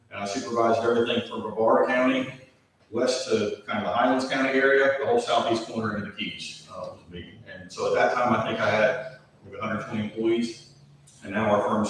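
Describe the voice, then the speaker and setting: A man talks at a fairly quick pace, his loudness swinging widely. Audible room echo and noticeable background noise surround him. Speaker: utility firm manager presenting proposal. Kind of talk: business presentation and Q&A. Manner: fast.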